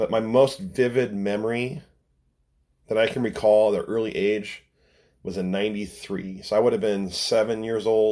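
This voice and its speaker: Talking in a Pacific Northwest accent, a man with a medium pitch and a dark, mellow tone keeps a moderate pace and fairly even intonation. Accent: Pacific Northwest American. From US Pacific Northwest (Renton, near Seattle). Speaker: podcast host, schoolteacher, hydroplane fan. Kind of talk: casual solo podcast monologue.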